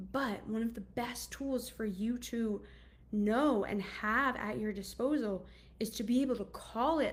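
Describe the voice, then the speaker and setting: A woman's fairly high voice with vocal fry, ordinary pitch variation and a fairly slow pace. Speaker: anxiety coach. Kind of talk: casual monologue. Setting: video call.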